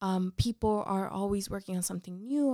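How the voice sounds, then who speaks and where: A woman with an American accent has a plain, everyday voice at a medium pitch with ordinary pitch variation. The recording is very clean, with a silent background and a dry, close sound with no echo. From Mexico, then Orange County, California from age 13. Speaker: corporate professional, diversity advocate. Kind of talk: interview conversation.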